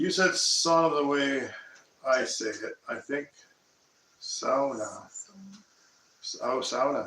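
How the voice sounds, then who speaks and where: Very slow speech in a Canadian accent, with long, frequent pauses and noticeable background noise. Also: man. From Nova Scotia, Canada. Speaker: homesteader, channel host. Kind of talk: casual live stream chat. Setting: live stream.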